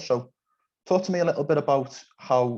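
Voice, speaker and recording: A man speaks with a Liverpool accent and ordinary pitch variation. The background is quiet. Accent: Scouse. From England, Liverpool. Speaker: podcast interviewer. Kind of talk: interview.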